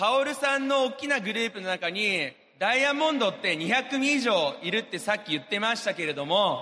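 Over noticeable background noise, a man speaks in a raised, projected voice at a high pitch. His intonation is lively and his pace fairly quick. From Japan. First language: Japanese (speaking Portuguese). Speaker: businessman. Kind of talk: motivational speech. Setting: stage with audience.

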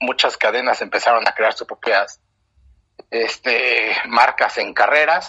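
A man speaks at a fairly slow pace. The sound is dry and close, with no echo. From Mexico. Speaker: running club founder. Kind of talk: interview.

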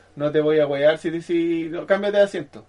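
A man speaks at a moderate pace. The rise and fall of his pitch is ordinary. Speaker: podcast co-host. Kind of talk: casual chat.

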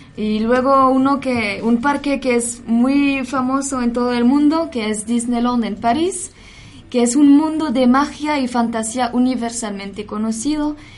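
A woman with a high voice speaks at a fairly slow pace against noticeable background noise. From France. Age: 20s. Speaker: cultural center staff. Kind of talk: radio chat.

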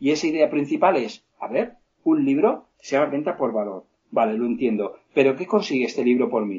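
This man's pitch swings very widely as he goes at a fairly quick pace. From Spain, Alicante. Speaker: sales trainer and author. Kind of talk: interview. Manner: halting. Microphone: poor connection.

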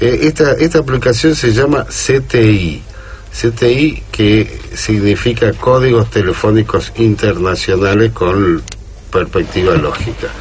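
Over noticeable background noise, a man talks at a very slow pace with very even loudness. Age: 50s. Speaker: radio co-host. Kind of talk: casual radio discussion. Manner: halting.

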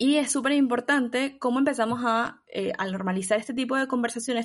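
This is a woman speaking in a plain, everyday voice. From Venezuela. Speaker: podcast co-host. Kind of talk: casual chat.

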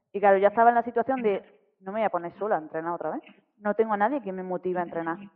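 A woman talks at a very fast pace with big swings in loudness. Her medium pitch shows ordinary variation. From Spain, Granada (Andalusia). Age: 30s. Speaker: fitness program client. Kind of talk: interview, personal testimony. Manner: halting, repetitive fillers.

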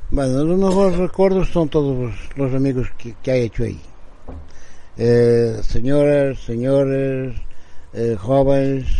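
A man's medium-pitched voice at a very slow pace, with long, frequent pauses, ordinary pitch variation and audible room echo. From Portugal, Bragança. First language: Portuguese (speaking Spanish). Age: 60s. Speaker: formerly homeless man. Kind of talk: testimony. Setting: outdoor porch. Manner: halting.

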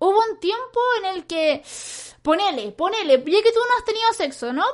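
A woman speaks at an extremely high pitch and a fairly quick pace. Her pitch swings very widely. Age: 20s. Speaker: streamer and podcast host. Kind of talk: advice call-in chat.

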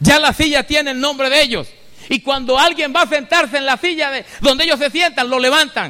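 A man uses a raised, projected voice at an extremely high pitch. His pace is fairly quick. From Venezuela. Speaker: pastor. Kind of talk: sermon. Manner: animated.

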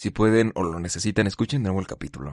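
A man with a Mexican accent, his sound dry and close with no echo, against a quiet background. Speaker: podcast host. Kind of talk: solo monologue podcast. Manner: casual, conversational.

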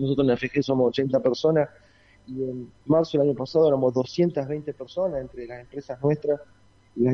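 A man speaks here. His pitch is fairly high. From Argentina, rural Santa Fe province. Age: 40s. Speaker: engineering company executive. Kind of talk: radio interview.

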